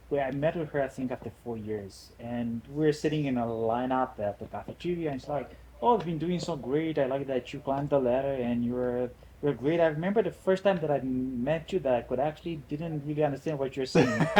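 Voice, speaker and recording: With a strong Romanian accent, a man talks at a fairly quick pace in a fairly high pitch, his dark, mellow tone carrying ordinary pitch variation. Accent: thick Romanian. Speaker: immigrant guest. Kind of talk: podcast interview.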